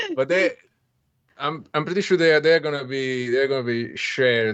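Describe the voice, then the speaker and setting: This man speaks with an Italian accent at a fairly high pitch. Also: ordinary pitch variation, moderate pace. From Italy. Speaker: software developer, stream co-host. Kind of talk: casual chat. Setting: live stream. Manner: halting.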